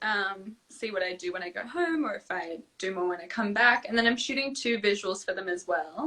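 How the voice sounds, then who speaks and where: At a moderate pace, a woman with an Australian accent speaks at a medium pitch with ordinary pitch variation. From Australia, Melbourne and Sydney. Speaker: singer-songwriter and dancer. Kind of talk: casual interview chat. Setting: live video stream.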